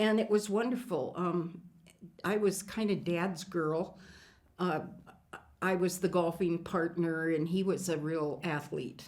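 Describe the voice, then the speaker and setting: Speaking at a fairly slow pace in an Upper Midwest accent, the voice leaves long, frequent pauses. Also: woman, fairly low pitch for a woman, ordinary pitch variation. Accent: Upper Midwest American. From western South Dakota (Hot Springs, Lead). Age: 70s. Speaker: former state cabinet official. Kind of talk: oral history interview.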